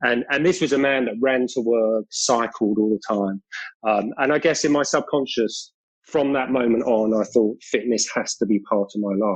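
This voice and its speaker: The speaker has a British accent. Their pitch rises and falls by an ordinary amount. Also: man, medium pitch for a man, moderate pace. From South London, England. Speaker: long distance runner and mental health advocate. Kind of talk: podcast interview.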